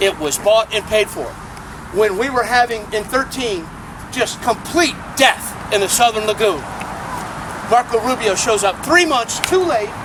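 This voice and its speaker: A man with an American accent speaks at a fairly slow pace in a high voice, his lively intonation broken by long, frequent pauses over noticeable background noise. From Florida. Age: 60s. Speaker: environmental activist. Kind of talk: rally speech. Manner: impassioned, with repeated words.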